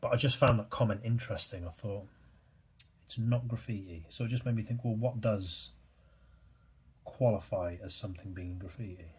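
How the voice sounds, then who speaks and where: A man with a British accent talks at a moderate pace and medium pitch. His voice is somewhat breathy, with long, frequent pauses. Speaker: artist and YouTuber. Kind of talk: casual chat while drawing. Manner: monotone; hesitant, many fillers.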